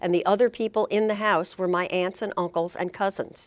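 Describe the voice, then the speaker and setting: A woman speaks with a New Jersey accent. The recording is very clean, with a silent background. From Elizabeth, New Jersey. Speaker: retired state supreme court justice. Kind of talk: oral history interview answer.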